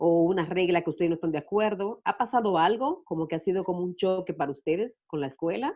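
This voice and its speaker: A woman with an ordinary speaking voice talks at a fairly quick pace. Her pitch is fairly low with ordinary pitch variation. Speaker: YouTuber and discussion moderator. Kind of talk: panel discussion moderation.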